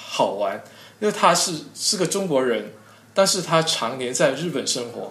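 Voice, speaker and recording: The man's fairly high voice swings very widely in pitch while he keeps a moderate speed. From Zhanjiang, Guangdong, China. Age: young. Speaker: character encoding expert. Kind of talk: interview. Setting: online call. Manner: halting.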